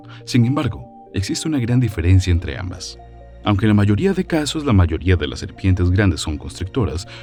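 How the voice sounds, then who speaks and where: Music plays in the background as a man speaks. His pitch is fairly low but swings very widely. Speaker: voice-over narrator. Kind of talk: documentary narration.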